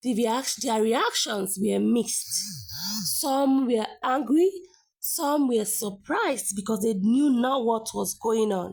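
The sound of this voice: The voice moves at a slow pace, with a slightly mellow tone, a slightly husky edge and vocal fry. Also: woman, fairly high pitch for a woman, ordinary pitch variation.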